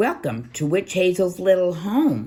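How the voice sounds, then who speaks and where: A put-on character voice, cackling at a middle pitch and a moderate pace. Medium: read story. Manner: gleeful, mischievous.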